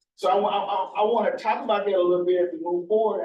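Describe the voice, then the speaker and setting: A man speaks with a Mississippi accent at a very fast pace. His pitch is high for a man. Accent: Southern US (Mississippi). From US South, northern Mississippi. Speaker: researcher. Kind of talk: presentation.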